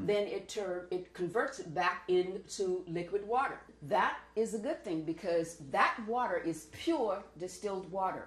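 Lively intonation comes through at a fairly slow pace, with audible room echo. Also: woman. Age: 70s. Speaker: raw vegan health advocate. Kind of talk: interview answer. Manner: emphatic, chatty. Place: kitchen. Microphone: camera far.

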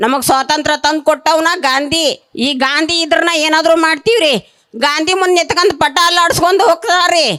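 This woman's voice sits at an extremely high pitch. She sounds animated, with her voice raised and projected. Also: ordinary pitch variation, very even loudness. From Haveri district, north Karnataka. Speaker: rural wage labourer and protester. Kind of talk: protest speech. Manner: animated, impassioned.

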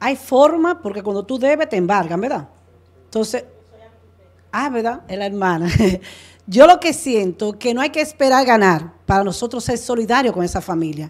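With very wide pitch swings and long, frequent pauses, a woman with a fairly high pitch speaks at a moderate pace over a quiet background. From Dominican Republic, Duarte province; Dominican Republic. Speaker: political candidate; candidate. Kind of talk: political debate. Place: studio. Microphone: handheld.

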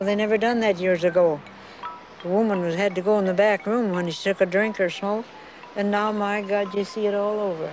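With music in the background, a woman speaks at a fairly quick pace in a dry sound with no echo. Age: 80s+. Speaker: folk artist. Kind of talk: casual documentary interview. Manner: lively, witty. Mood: chatty, humorous reminiscing.

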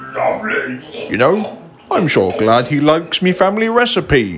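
Over faint background music, a man puts on a cartoonish character voice with a high pitch at a moderate pace. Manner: chatty, fussy, easily flustered.

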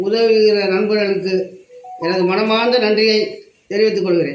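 With music in the background and audible room echo, a man speaks in a high voice. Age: 70s. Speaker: village elder, temple caretaker. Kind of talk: interview. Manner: halting.

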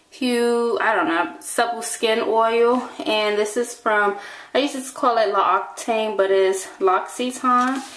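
A woman at a very slow pace with ordinary pitch variation, over noticeable background noise and audible room echo. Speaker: vlogger. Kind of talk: casual vlog monologue. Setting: in a car.

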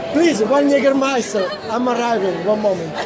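Noticeable background noise sits behind a man's voice. He speaks at a moderate pace with an Italian accent. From Italy. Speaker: vlogger. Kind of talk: casual vlog talk in a bar. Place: street. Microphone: phone near.

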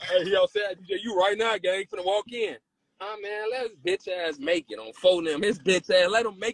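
A man with a high pitch speaks at a moderate pace in an animated tone, with ordinary pitch variation. His loudness swings widely, and the sound is dry with no echo. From Chicago. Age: 40s. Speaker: rapper; livestream host. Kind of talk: casual livestream chat. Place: home room. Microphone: phone near.

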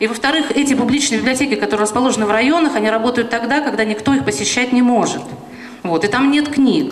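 The speech moves at a very fast pace. Audible room echo surrounds the voice. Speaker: round-table panelist. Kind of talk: panel discussion. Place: hall. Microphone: handheld.

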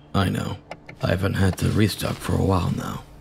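Over clear background noise, a man does a put-on character voice that is raspy and very deep, moving at a fairly quick pace. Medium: machinima. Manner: calm, businesslike.

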